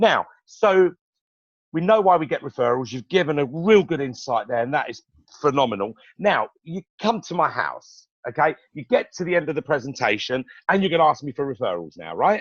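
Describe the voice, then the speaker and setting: A man talks with lively intonation at a fairly high pitch. The sound is dry and close, with no echo. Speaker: sales team leader. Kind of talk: training talk. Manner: fast.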